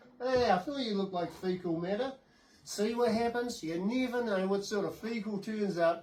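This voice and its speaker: A man with a high pitch and ordinary pitch variation speaks at a moderate pace against noticeable background noise. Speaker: second-hand shop owner. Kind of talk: casual comedic talk to camera with dummies. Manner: joking, playful.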